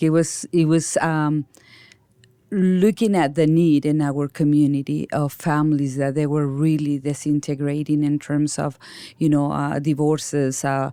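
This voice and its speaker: A woman with a Mexican accent and a very deep, low pitch is heard in a very clean recording with a silent background. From Mexico. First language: Spanish. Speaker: nonprofit founder and director. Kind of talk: interview.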